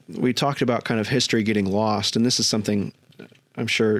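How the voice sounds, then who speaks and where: An unremarkable speaking voice from a man at medium pitch with fairly even intonation. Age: 20s. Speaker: podcast host. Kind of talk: casual interview chat.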